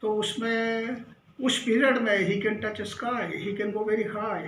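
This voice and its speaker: A high-pitched male voice with fairly even intonation amid noticeable background noise. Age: 70s. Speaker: astrologer and palmist. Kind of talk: educational astrology talk to camera.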